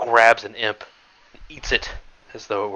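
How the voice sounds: Reading in a natural voice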